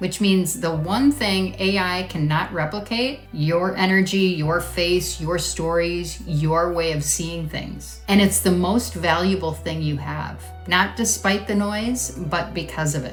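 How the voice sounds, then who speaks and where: Over music in the background, a woman talks at a fairly slow pace with hardly any pauses. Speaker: marketing coach for women in network marketing. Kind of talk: casual talk to camera. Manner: conversational, earnest.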